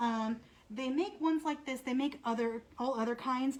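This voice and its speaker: A soft-spoken woman's voice, high in pitch. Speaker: animal shelter behavior manager. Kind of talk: live demonstration talk. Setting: animal shelter, livestream. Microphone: muffled by face mask, hard to hear.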